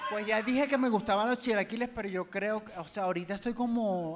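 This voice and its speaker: Against noticeable background noise, a man with a Venezuelan accent speaks with ordinary pitch variation. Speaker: social media entertainer; podcast guest. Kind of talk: live comedy talk show with audience. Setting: live venue with audience. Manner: flamboyant, camp. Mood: relaxed, playful, animated. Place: stage. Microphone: handheld.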